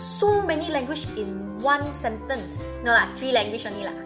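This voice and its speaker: Clear music plays behind a woman who speaks at a moderate pace with a Malaysian accent. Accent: Malaysian English (Manglish). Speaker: vlogger. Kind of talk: casual talk to camera. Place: home room.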